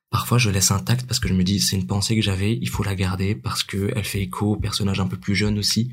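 The speech moves at a very fast pace with lively intonation. Vocal fry runs through the voice. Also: man. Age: 20s. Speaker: amateur actor and writer. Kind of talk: casual interview.

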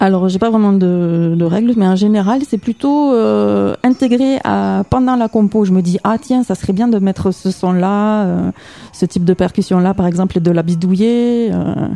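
A woman with a normal speaking voice, medium pitch, ordinary pitch variation, a fairly slow pace and very even loudness, in a dry, close sound with no echo. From Toulouse, southern France. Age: young. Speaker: musician. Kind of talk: radio interview. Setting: radio studio.

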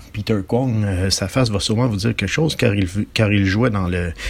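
A man is talking. His voice rises and falls with ordinary pitch variation. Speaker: film presenter. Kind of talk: film introduction.

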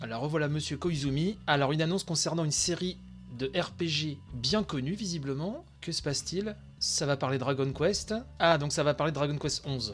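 Music plays in the background. Over it, a man talks in a fairly high pitch. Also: ordinary pitch variation, moderate pace. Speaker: video game news podcaster. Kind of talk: live commentary. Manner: slurred articulation.

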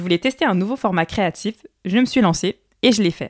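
The intonation is lively throughout. The sound is dry and close with no echo, in a very clean recording with a silent background. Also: woman. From Paris suburbs, France. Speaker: podcast host and singer. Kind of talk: solo monologue.

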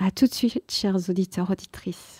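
A woman's medium-pitched voice with a dark, mellow tone and a dry, close sound with no echo. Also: very clean recording, silent background. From grew up abroad as expatriate child. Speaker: radio host. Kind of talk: radio interview.

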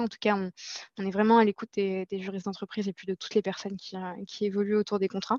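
Medium pitch from a woman, in a dry, close sound with no echo. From Morocco, Casablanca. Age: 20s. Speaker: marketing manager. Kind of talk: interview. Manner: halting, many hesitations.

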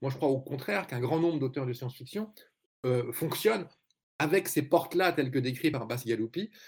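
This is an ordinary speaking voice at a fairly quick pace. Its pitch varies in an ordinary way. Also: man. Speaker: journalist and essayist. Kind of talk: panel discussion.

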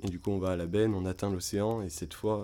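A man speaks in a very deep, low voice with a dark, mellow tone and flat, monotone intonation. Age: 20s. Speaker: children's activity leader. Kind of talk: travel storytelling. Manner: halting, many fillers and repetitions.

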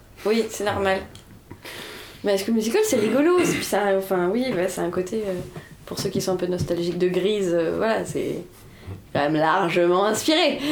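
The speech moves at a moderate pace with ordinary pitch variation and long, frequent pauses. Noticeable background noise and audible room echo fill the recording. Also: woman, medium pitch for a woman. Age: 20s. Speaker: dancer, podcast co-host. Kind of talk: casual chat. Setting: student bedroom.

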